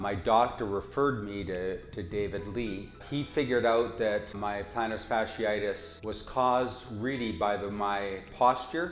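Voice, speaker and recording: A man's fairly low voice at a fairly slow pace with hardly any pauses, over music in the background and with audible room echo. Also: ordinary pitch variation. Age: 60s. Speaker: patient giving a testimonial. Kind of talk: testimony.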